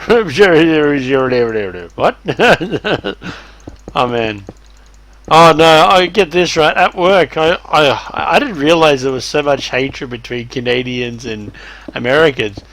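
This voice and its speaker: Speaking at a fairly slow pace with long, frequent pauses, a man with an Australian accent uses a fairly high pitch and lively intonation. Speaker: streamer. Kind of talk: casual chat. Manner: animated.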